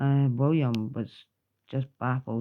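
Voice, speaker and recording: With a Scottish accent, this woman speaks at a very deep, low pitch. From Scotland. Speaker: grandmother. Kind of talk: children's book read-aloud.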